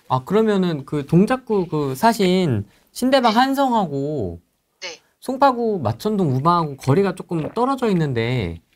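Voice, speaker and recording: Very wide pitch swings mark this speech, which keeps a moderate pace. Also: woman. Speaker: YouTube host; channel host interviewer. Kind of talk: casual interview. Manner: laughs often. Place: studio.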